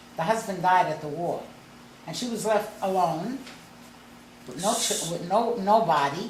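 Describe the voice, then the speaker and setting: A woman with an American accent speaks with long, frequent pauses. Noticeable background noise runs underneath. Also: medium pitch for a woman, ordinary pitch variation, moderate pace, big swings in loudness. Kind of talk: family storytelling. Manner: animated, humorous.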